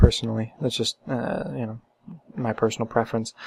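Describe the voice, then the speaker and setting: A quiet man's voice at medium pitch and a fairly quick pace. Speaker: philosophy vlogger. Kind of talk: casual monologue. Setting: at home late at night. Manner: halting, many fillers and repetitions.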